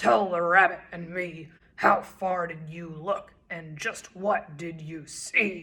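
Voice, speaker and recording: A woman growls in a put-on character voice at a very slow pace and a fairly low pitch. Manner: growling, irritated.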